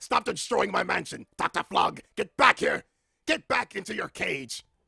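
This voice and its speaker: In a put-on character voice pitched extremely high, a man speaks with a dry, close sound and no echo. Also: moderate pace. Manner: insane, theatrical.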